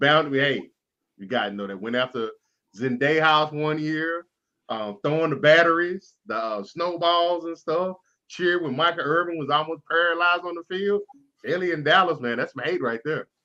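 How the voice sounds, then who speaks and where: A fairly high-pitched man with an American accent and big swings in loudness. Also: lively intonation, moderate pace. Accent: Texas accent, comes out at times. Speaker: sports talk show host. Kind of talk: casual sports chat. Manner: animated.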